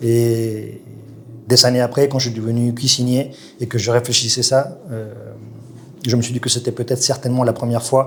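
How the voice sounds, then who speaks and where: A man speaks in a monotone, flat way with a slight South American accent, at a moderate pace, with long, frequent pauses. Noticeable background noise runs under his voice. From Colombia. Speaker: chef. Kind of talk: interview. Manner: hesitant, many fillers.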